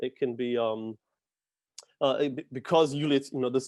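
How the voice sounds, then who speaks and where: A man with a New York accent speaks at a fairly quick pace with fairly even intonation. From New York City. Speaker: actor and acting instructor. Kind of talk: talk to students. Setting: video call. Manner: hesitant with fillers.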